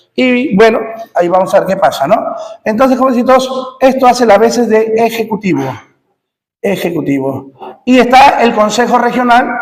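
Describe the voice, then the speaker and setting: A man speaks at an extremely high pitch with lively intonation. Audible echo fills the room. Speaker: teacher. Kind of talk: lecture. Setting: classroom with students present. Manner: fast.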